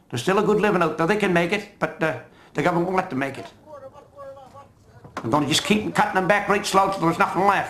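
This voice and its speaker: This man talks at a very fast pace but leaves long, frequent pauses, his pitch high. Noticeable background noise runs underneath. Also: ordinary pitch variation. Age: 60s. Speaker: fisherman. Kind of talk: interview.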